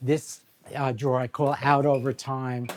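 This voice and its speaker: In a New York accent, a man talks fairly slowly at a medium pitch. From New York City, Brooklyn. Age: 70s. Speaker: photographer. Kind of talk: documentary interview.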